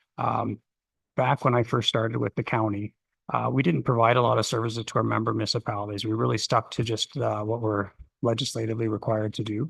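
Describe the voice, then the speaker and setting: In a dry, close recording with a quiet background and no echo, a man speaks very fast in a somewhat breathy voice at medium pitch, his intonation fairly even. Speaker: county planning official. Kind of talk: council presentation. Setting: council chamber, streamed meeting. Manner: halting, many fillers.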